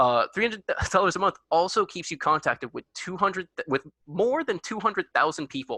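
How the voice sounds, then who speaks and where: Raised and projected at a fairly quick pace, the voice has a bright, sharp tone and lively intonation, recorded dry and close with no echo against a quiet background. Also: man, high pitch for a man. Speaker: student club officer presenting a workshop. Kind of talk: workshop presentation. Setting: video call. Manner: fast; halting, stumbles over words.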